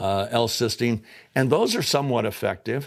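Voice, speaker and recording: A man talks at a moderate pace with vocal fry. The recording is very clean with a silent background. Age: 70s. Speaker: entrepreneur presenting his product. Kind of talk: sales pitch. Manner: animated.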